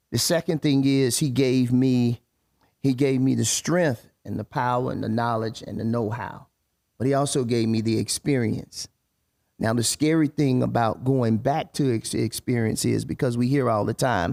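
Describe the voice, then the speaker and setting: A man speaks at a moderate pace with a medium pitch and ordinary pitch variation. The sound is dry and close, with no echo. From US South, Winston-Salem, North Carolina. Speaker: podcast host and actor. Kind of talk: casual chat. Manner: loud, projects a theater voice.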